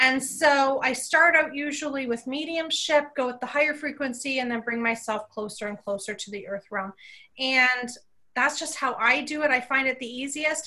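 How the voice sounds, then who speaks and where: In a Canadian accent, a woman uses a raised, projected voice that is high-pitched and bright and sharp in tone, with ordinary pitch variation. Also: moderate pace, big swings in loudness. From Canada. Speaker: psychic medium. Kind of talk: casual interview chat.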